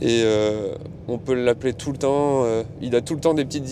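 A man's medium-pitched voice at a moderate pace, over noticeable background noise. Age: 30s. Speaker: restaurant worker, sourcing producers. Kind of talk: casual interview. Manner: hesitant, many fillers.

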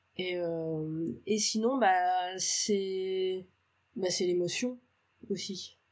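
A woman's voice sits at a medium pitch, and her intonation stays fairly even. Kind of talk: casual interview.

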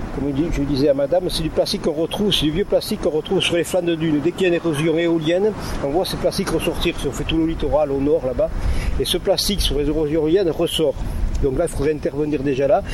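A man speaks very fast in a fairly high voice with fairly even intonation. Background noise is noticeable. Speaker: local beach-cleanup researcher. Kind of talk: on-the-spot interview. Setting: outdoors on a beach.

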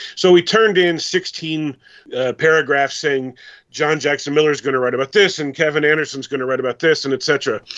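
A man with an ordinary speaking voice talks at a fairly quick pace, his fairly high pitch varying in an ordinary way. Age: 50s. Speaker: author. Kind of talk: casual interview.

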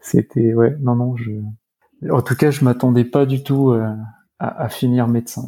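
A man of medium pitch speaks at a fairly slow pace with long, frequent pauses. His intonation is monotone and flat. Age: 30s. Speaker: hospital doctor. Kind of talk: interview. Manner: halting, many hesitations and repetitions.

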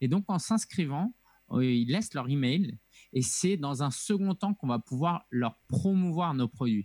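A man with a plain, everyday voice and a fairly high pitch speaks at a fairly slow pace with lively intonation and very even loudness. The recording is very clean with a silent background, dry and close with no echo. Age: 30s. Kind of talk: interview conversation.

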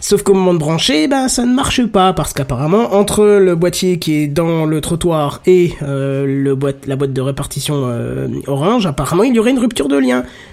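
Over noticeable background noise, a man with a fairly high pitch speaks at a moderate pace with lively intonation and hardly any pauses. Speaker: podcast host. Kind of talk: casual tech podcast chat. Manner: animated, joking.

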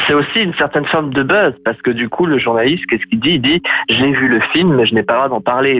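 With noticeable background noise behind him, a man talks at a fairly quick pace and medium pitch, using ordinary pitch variation. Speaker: film blogger co-host. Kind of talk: casual chat. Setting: phone call. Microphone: phone line.

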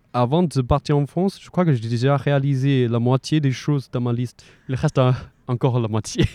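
A man with a Chinese accent speaks at a moderate pace and medium pitch, with fairly even intonation. His loudness swings widely against a quiet background. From China. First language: Mandarin Chinese (speaking French). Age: 20s. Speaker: student. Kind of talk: casual interview. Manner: halting, frequent repetitions.

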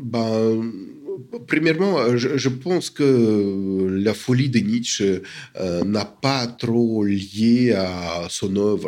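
Speech comes at a very slow pace. Pitch varies in an ordinary way, and loudness stays very even. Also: man, medium pitch for a man. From Soviet Union. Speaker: academic and literary scholar. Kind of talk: interview. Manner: halting, many hesitations.

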